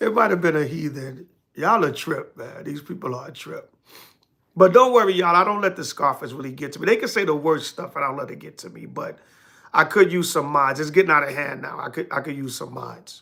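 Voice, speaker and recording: A man talks at a fairly quick pace in a fairly high pitch with a bright, sharp tone, lively intonation and big swings in loudness. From New York. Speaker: religious group leader and livestreamer. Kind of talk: livestream sermon and Q&A. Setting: home livestream. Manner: casual, conversational.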